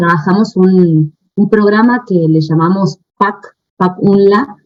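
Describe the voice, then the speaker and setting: A woman with an Argentine accent speaks with ordinary pitch variation. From Argentina. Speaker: researcher. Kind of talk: conference talk. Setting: video call. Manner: hesitant, many fillers.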